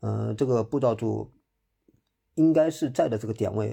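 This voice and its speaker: Speaking at a moderate pace over a quiet background, a man with a medium-pitched, dark and mellow voice shows vocal fry and ordinary pitch variation. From Hangzhou, Zhejiang. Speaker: trail runner. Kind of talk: interview. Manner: hesitant, many fillers.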